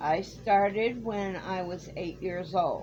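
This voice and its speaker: With audible room echo, a woman speaks very slowly at a medium pitch. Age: 60s. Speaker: crochet YouTuber. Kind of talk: Q&A video, casual talk to camera. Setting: home, in a camper.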